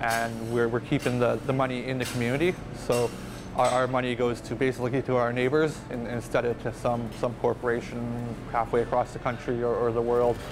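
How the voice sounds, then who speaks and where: Over noticeable background noise, the speech moves at a fairly quick pace with monotone, flat intonation. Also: man. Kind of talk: interview answer. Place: cafe.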